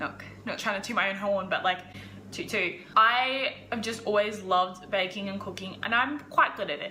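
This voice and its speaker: A woman of medium pitch speaks at a moderate pace with ordinary pitch variation, over noticeable background noise and audible room echo. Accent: Australian. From Australia. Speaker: lifestyle YouTuber. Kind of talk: casual vlog. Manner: loud.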